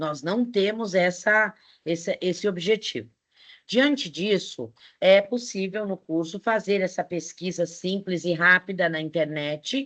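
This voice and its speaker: A woman talks at a fairly slow pace in a plain, everyday voice. The background is quiet. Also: medium pitch for a woman, ordinary pitch variation. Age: 60s. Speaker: teacher. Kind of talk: online lecture. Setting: online live class.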